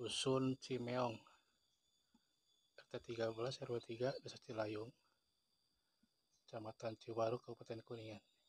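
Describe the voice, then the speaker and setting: A soft-spoken, somewhat breathy man at a medium pitch and moderate pace, with monotone, flat intonation, long, frequent pauses and a dry, close sound with no echo. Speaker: vlogger exploring abandoned village. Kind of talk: walking vlog narration. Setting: outdoors.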